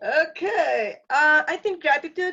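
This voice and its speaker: A woman's raised, projected voice, bright and sharp in tone, with ordinary pitch variation. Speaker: teacher. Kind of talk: group discussion. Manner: halting.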